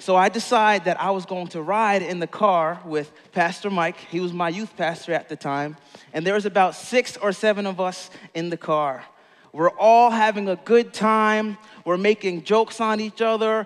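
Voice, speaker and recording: Delivered at a moderate pace with ordinary pitch variation, the voice sits against a quiet background. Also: man, high pitch for a man. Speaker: pastor. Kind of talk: sermon. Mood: warm, smiling, storytelling. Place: stage. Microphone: headset.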